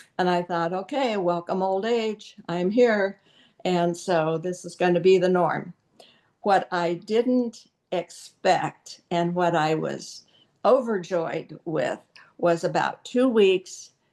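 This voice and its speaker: The speaker talks at a very slow pace with ordinary pitch variation. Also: woman, medium pitch for a woman. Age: 70s. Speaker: wellness product presenter. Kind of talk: product presentation.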